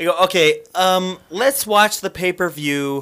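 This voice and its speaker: With a bright, sharp tone and lively intonation, a man talks at a fairly slow pace. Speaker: wrestling podcast host. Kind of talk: casual comedic banter, mock ring announcer.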